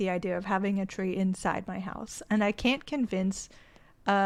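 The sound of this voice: Fairly even intonation runs through an unforced reading voice here.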